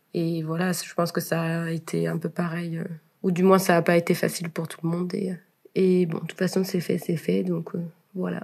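A woman's fairly low, monotone voice with flat intonation, at a moderate pace. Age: 20s. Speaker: university student. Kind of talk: casual interview. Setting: remote call recording. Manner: hesitant, frequent fillers.

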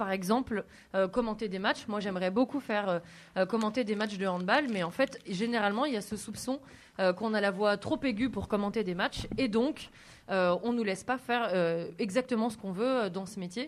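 This woman has a fairly high pitch and ordinary pitch variation. She talks at a moderate pace. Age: 30s. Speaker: sports journalist, magazine editor-in-chief. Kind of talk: school radio interview. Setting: school web radio studio. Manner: hesitant, with fillers and repetitions.

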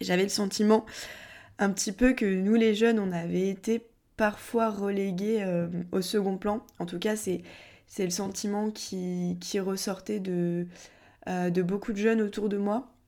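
In a very clean recording with a silent background, a woman with a medium pitch and a dark, mellow tone speaks very slowly in a flat monotone, leaving long, frequent pauses. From southern France (Montpellier). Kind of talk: casual podcast monologue answering questions.

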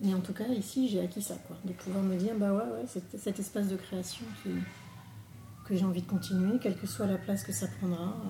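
A woman with a dark, mellow tone and medium pitch speaks with lively intonation and vocal fry. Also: moderate pace. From Paris, France. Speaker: textile and embroidery artist. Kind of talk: casual interview. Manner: halting.

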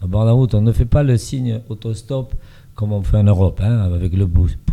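Dark and mellow in tone, a man's voice carries a somewhat breathy quality. He talks at a moderate tempo. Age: 70s. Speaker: reality TV contestant. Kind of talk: interview. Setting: studio with small audience. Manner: halting.

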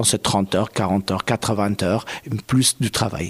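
A man speaks at a fairly slow pace, his fairly low voice keeping a fairly even intonation. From Afghanistan. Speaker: kite maker and performer. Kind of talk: interview.

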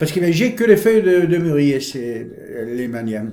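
There is audible room echo around a man whose tone is dark and mellow. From Provence, France (Brignoles, Var). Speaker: local resident recounting family history. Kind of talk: oral history interview.

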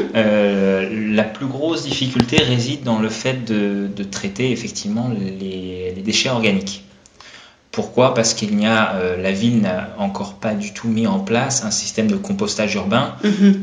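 A man with a fairly low pitch speaks at a fairly slow pace with ordinary pitch variation, amid audible room echo and noticeable background noise. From France, with Dutch roots. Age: 30s. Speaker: eco caterer and business owner. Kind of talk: radio interview.

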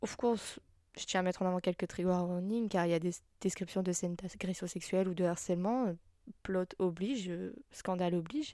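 On a very clean recording with a silent background, a voice with a dark, mellow tone speaks at a moderate pace. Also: woman. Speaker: solo podcaster. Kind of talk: casual solo monologue. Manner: halting, many fillers.

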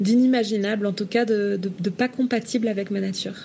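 A woman's somewhat breathy voice sits at a medium pitch, moving at a moderate pace with fairly even intonation. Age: 30s. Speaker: traveller and freediver. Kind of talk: testimony. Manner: halting, with repetitions and hesitations.

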